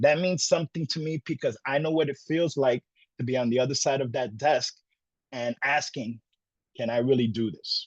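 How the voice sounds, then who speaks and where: A somewhat breathy voice in a dry, close sound with no echo. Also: man, fairly high pitch for a man, ordinary pitch variation, moderate pace. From Brooklyn, New York (Puerto Rican). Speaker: college program director. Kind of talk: presentation. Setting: virtual session.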